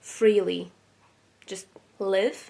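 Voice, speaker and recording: A woman at a medium pitch with vocal fry and a non-native accent. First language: not English. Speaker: tarot reader. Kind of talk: tarot reading. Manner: hesitant, with fillers.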